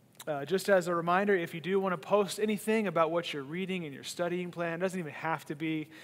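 A man talks at a fairly quick pace. His pitch is high, with ordinary pitch variation. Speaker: church pastor. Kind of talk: announcements to online viewers. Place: stage. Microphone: headset.

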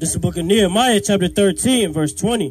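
Over light background noise, a man talks at a moderate pace in a high pitch with lively intonation. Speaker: street preacher. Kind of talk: reading aloud. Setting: outdoors. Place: open country.

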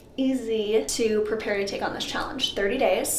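Woman at a moderate pace with ordinary pitch variation, light background noise and audible room echo. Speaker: fitness vlogger. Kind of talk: casual vlog chat. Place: bathroom. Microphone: camera far.

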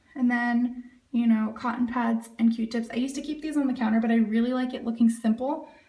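A woman speaks very fast in a flat monotone, with audible room echo over a quiet background. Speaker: home organizing vlogger. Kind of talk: casual vlog chat. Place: bathroom. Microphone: phone near.

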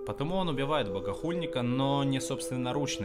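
A man talks fairly quickly amid loud background noise. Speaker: streamer analyzing an animation. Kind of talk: commentary. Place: home room.

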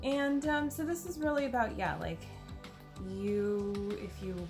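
Clear music can be heard underneath. Over it, a woman talks. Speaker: card reader. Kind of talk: channeled card reading talk. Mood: calm, gentle. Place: home room. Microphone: phone near.

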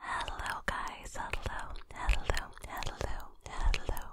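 Against loud background noise, a soft-spoken voice whispers at a very slow pace, the sound dry with no echo. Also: woman. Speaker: ASMR creator. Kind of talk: soft ASMR greeting. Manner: soft close-mic ASMR whisper. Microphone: studio mic.

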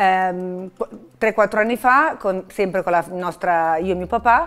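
At a moderate pace, the speaker uses an ordinary speaking voice with fairly even intonation. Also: woman. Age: 50s. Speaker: hospital benefactor and patient. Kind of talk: testimony.

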